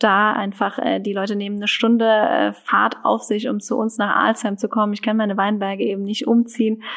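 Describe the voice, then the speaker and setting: The recording is very clean, with a silent background. A woman speaks at a medium pitch and a moderate pace. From German wine region. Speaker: winemaker. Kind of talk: interview.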